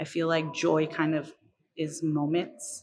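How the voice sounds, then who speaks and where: A woman with a very deep, low voice speaks at a fairly slow pace with flat, monotone intonation. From New York. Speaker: chef. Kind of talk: casual chat. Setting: dinner conversation.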